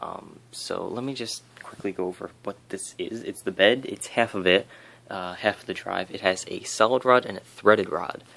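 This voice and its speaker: A soft-spoken man talks at a moderate pace with big swings in loudness and light background noise. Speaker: 3D printing hobbyist YouTuber. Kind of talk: casual tutorial. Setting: home at night. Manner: hesitant, many fillers. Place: home room. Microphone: phone near.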